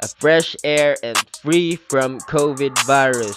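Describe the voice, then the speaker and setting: Music plays in the background as a man speaks at fairly high pitch. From Philippines. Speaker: YouTuber. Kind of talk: casual talk to camera.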